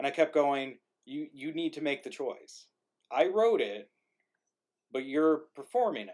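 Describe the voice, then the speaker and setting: Mumbling at a fairly slow pace, a man with a fairly high pitch and lively intonation speaks with big swings in loudness and long, frequent pauses. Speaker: playwright and livestream organizer. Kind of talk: casual chat.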